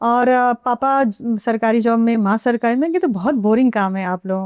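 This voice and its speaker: At a moderate pace, a woman with a Bihari accent speaks at a fairly high pitch with ordinary pitch variation, in a dry, close sound with no echo and a quiet background. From Bihar (Thawe, Gopalganj district). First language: Bhojpuri (speaking Hindi). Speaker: actress. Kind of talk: interview. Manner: casual, with fillers and hesitations.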